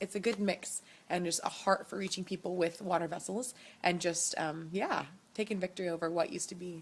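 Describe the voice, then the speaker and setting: Her pitch fairly low, a woman talks at a fairly quick pace with fairly even intonation. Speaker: missionary. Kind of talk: video update to supporters. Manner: fast; hesitant, many fillers.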